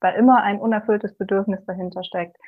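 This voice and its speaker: Here is a plain, everyday voice. Its intonation is fairly even. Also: woman. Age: 20s. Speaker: physics student and single mother. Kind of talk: interview about personal experience.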